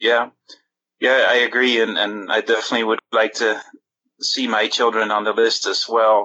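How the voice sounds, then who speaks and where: Monotone, flat intonation from a man at a medium pitch. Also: moderate pace. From outside US, immigrant. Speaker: caller. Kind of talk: casual chat. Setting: phone call.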